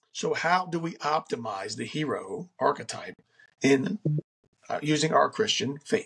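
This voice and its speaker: A man's fairly high voice with vocal fry, very wide pitch swings and a fairly slow pace. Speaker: podcast host. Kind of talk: solo podcast monologue on faith and self-improvement. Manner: casual with frequent fillers and restarts.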